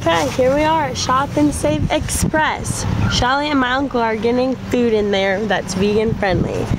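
A woman speaks at a moderate pace in a high pitch with fairly even intonation. Background noise is clearly audible.

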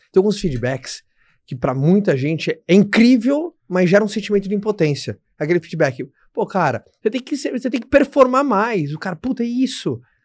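Against a quiet background, a man with a high voice talks at a moderate pace, his pitch swinging very widely. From Brazil. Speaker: podcast host. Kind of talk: casual interview chat. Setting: studio. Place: studio. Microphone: studio mic.

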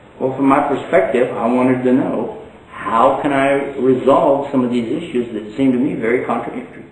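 A man with an American accent speaks at a moderate pace, barely pausing. His pitch varies in an ordinary way, and the room echo is audible. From Texas. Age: 60s. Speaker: Islamic preacher. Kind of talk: lecture; informal talk to a small audience. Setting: stage with audience. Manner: humorous. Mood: relaxed, a little humorous. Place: home room. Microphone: camera far.

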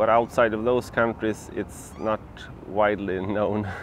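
Over light background noise, a man with a fairly low pitch speaks at a moderate pace with fairly even intonation in a dry sound with no echo. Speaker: bikepacking travel vlogger. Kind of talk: casual vlog chat. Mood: relaxed, cheerful. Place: garden. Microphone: lapel.

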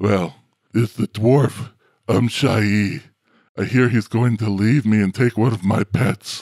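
Using a put-on character voice, a man talks at a medium pitch and a fairly slow pace. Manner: smug, indulgent, casually cruel; lazy, self-satisfied.

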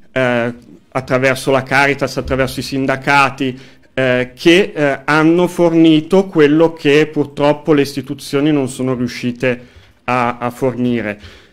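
The setting is quiet. A man talks fairly slowly, his intonation fairly even. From northern Italy, Como; northern Italy. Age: 30s. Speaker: local council candidate and union activist; council candidate. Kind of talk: radio interview; interview answer. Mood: calm, earnest political talk. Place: studio. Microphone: studio mic.

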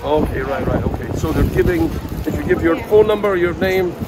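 The sound is dry with no echo, under loud background noise. A man talks at a fairly quick pace. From United Kingdom. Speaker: English teacher YouTuber. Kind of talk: casual travel vlog talk to camera. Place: market. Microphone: phone near.

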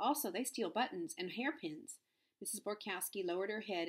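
The text is read out plainly, with lively intonation. All around is quiet.

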